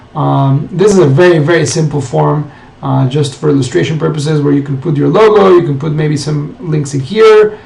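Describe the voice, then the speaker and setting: Lively intonation from a man with a fairly high pitch, plus noticeable background noise and audible room echo. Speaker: marketing tutorial presenter. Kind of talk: screen-share tutorial. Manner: fast.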